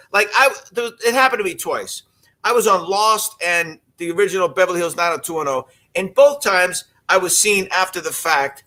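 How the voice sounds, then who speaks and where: A man projects a raised voice at a high pitch, bright and sharp in tone with lively intonation. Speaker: actor and show host. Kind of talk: casual chat. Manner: halting, frequent fillers and repetitions.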